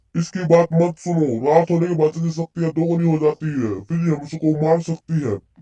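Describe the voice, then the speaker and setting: Using a put-on character voice, a man talks at a fairly high pitch with fairly even intonation and hardly any pauses, the sound dry and close with no echo. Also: moderate pace. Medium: read story. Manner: grave, commanding.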